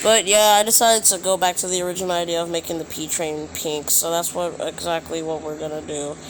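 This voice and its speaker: Against noticeable background noise, a high-pitched man talks at a very fast pace with fairly even intonation and hardly any pauses. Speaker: YouTuber building transit maps in a game. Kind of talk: gameplay tutorial commentary. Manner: quiet, hushed; halting, many fillers.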